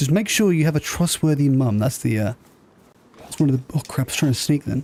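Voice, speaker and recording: Speaking at a very fast pace, a man with a southern English accent uses a fairly high pitch and ordinary pitch variation. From southern England (Southampton). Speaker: gaming streamer. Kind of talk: casual chat. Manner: slurring.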